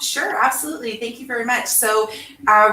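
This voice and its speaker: A woman's voice comes through with noticeable background noise underneath. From Canada, born in England. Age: 40s. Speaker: educator and author. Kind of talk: interview.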